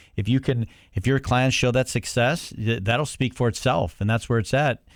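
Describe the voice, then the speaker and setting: Over a silent background in a very clean recording, a man with a Cleveland accent talks at a fairly quick pace with ordinary pitch variation. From Cleveland, Ohio. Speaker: podcast co-host. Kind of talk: interview.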